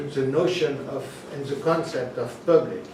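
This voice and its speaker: A man with a French accent, fairly high pitch, ordinary pitch variation and fairly slow pace, amid noticeable background noise and audible room echo. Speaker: academic presenter at a workshop. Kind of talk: academic roundtable talk. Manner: halting, many fillers.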